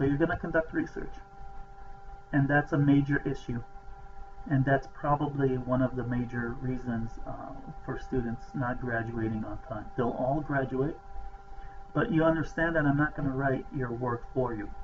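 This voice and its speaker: Through noticeable background noise, a man at a medium pitch talks at a moderate pace with fairly even intonation and long, frequent pauses. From outside the US. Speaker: professor, program director. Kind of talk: welcome talk to students.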